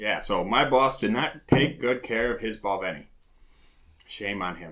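The voice has a bright, sharp tone and big swings in loudness, moving at a moderate pace against a quiet background. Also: man. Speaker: whisky reviewer. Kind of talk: casual review chat. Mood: joking, relaxed. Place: home room.

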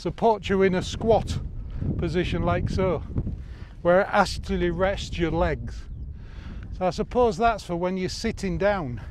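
Pausing long and often at a fairly slow pace, a man talks in a dry sound with no echo against noticeable background noise. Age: 60s. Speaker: YouTuber reviewing outdoor gear. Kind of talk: product review vlog. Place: open country.

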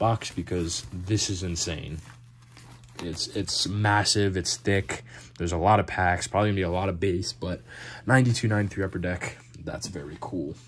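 A man's very deep, low voice, somewhat breathy, at a moderate pace over light background noise. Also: ordinary pitch variation. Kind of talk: casual vlog chat. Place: home room. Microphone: phone near.

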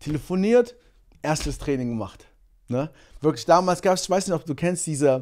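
A fairly high-pitched male voice at a moderate pace, with lively intonation. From Germany, Monheim (Rhineland); born in Angola; Germany. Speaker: sprinter; podcast guest. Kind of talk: casual chat. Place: studio. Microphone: studio mic.

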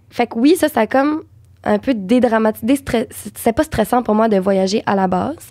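A woman's fairly high voice with a dark, mellow tone, a Quebec accent and ordinary pitch variation, against a quiet background. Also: moderate pace. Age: young. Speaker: actress and dubbing voice actor. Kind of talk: podcast interview answer. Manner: casual, chatty. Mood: relaxed, warm storytelling. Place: studio. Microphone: studio mic.

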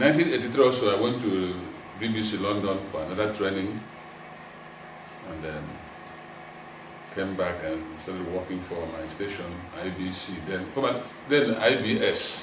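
At a moderate pace, a man with fairly low pitch and ordinary pitch variation speaks with long, frequent pauses and big swings in loudness amid noticeable background noise. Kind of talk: interview answer. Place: home room.

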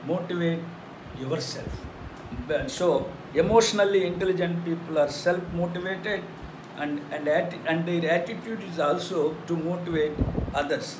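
A high-pitched man at a moderate pace, fairly even in intonation, with long, frequent pauses and noticeable background noise. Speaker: teacher. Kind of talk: lecture. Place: classroom. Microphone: phone near.

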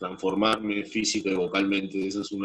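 The man's pitch is fairly low, and he talks at a fairly slow pace. The background is quiet. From Peru. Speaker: actor. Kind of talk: casual chat. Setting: video call. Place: home room. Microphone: video call.

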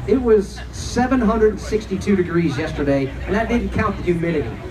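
A man speaks at a fairly slow pace as noticeable background noise runs behind him. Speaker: event host. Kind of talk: fan Q&A. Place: stage.

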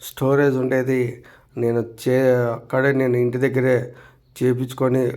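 A man speaks in a dark, mellow tone. His intonation stays flat and monotone. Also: very even loudness. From Andhra Pradesh. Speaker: travel vlogger. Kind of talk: vlog narration. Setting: outdoors. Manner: halting.

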